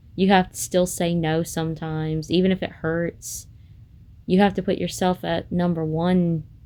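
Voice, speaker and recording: A woman's fairly low-pitched voice with a dark, mellow tone, monotone, flat intonation and a moderate pace. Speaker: content creator. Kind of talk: personal vlog monologue. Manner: halting; hesitant, many fillers.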